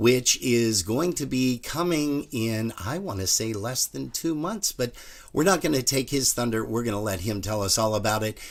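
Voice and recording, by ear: The man talks at a moderate pace, his intonation lively.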